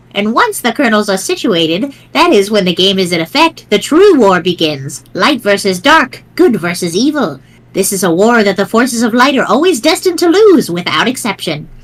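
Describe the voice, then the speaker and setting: A put-on character voice, female-sounding and at a medium pitch, moves at a moderate pace. It runs on with hardly any pauses. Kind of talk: old lady voice. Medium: read story. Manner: sweet, teasing, chuckling.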